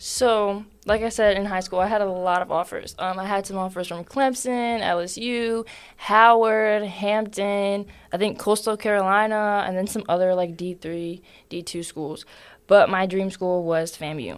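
An ordinary speaking voice from a woman with an American accent, medium in pitch, fairly slow and fairly even in intonation, in a very clean recording with a silent background. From Philadelphia, US. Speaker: college track athlete. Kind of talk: podcast interview.

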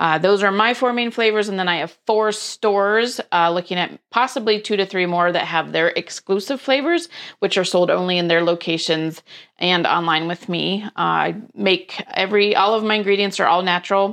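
Against a quiet background, a woman uses a normal speaking voice at a medium pitch and moderate pace, with ordinary pitch variation. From US, various places (Air Force brat). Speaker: small business owner, dog treat baker. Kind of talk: casual interview.

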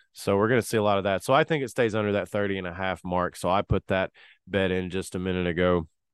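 In a Tennessee accent, a man talks fairly quickly with a very deep, low pitch and ordinary pitch variation. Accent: Southern US (Tennessee). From Tennessee, US South. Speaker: sports betting podcast host. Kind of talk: casual solo podcast talk.

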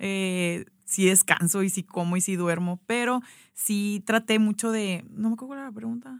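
A woman with a normal speaking voice talks at a fairly slow pace in a medium pitch. Her pitch varies in an ordinary way, and the recording is very clean, with a silent background. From Mexico, Sonora (Hermosillo). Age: 30s. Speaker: pastry business founder. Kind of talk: casual interview. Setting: radio studio.

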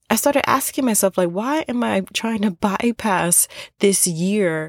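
A woman's plain, everyday voice, medium in pitch with lively intonation and a fairly slow pace, in a dry, close sound with no echo. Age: 30s. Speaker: podcast host. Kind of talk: solo monologue podcast. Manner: casual, filler-heavy.

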